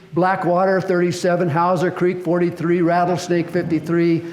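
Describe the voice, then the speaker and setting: There is noticeable background noise and an audible room echo. A man talks at a fairly quick pace. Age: 70s. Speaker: fire service historian speaker. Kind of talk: presentation. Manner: halting, many fillers.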